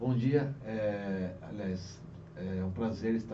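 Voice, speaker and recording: A man talks with lively intonation. Audible room echo and noticeable background noise fill the recording. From Brazil, Guarulhos (São Paulo). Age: 40s. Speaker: police chief. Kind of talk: interview.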